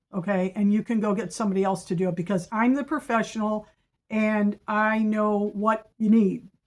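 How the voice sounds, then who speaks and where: At a moderate pace and fairly high pitch, a woman talks with fairly even intonation in a very clean recording with a silent background. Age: 60s. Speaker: professional house cleaner and business owner. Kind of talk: informational monologue with reading of prepared points. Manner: conversational with frequent fillers and self-corrections; emphatic, assertive.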